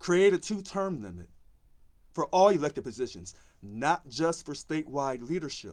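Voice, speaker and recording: A man's passionate tone in an American accent, with very wide pitch swings. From Missouri, US. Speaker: union election candidate. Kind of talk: live video monologue. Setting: live social media video.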